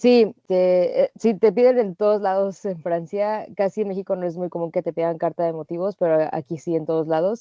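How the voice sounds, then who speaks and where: A woman with a Mexican accent speaks at a moderate pace with hardly any pauses. Her medium-pitched voice shows ordinary pitch variation. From Mexico. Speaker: working holiday traveler. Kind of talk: interview.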